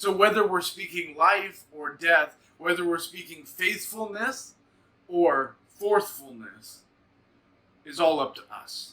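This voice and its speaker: Speaking at a very slow pace in a raised, projected voice, a man with a high pitch shows ordinary pitch variation and big swings in loudness. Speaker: devotional host. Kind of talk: devotional talk. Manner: projecting, strong.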